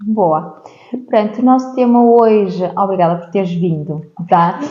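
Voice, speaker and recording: A woman talks at a fairly slow pace and a medium pitch, with ordinary pitch variation and big swings in loudness. Noticeable background noise and audible room echo fill the recording. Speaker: podcast host. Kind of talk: interview podcast.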